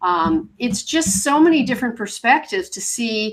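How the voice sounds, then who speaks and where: A woman's fairly high, normal speaking voice with lively intonation at a moderate pace. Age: 60s. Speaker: author and atheist blogger. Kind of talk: podcast interview.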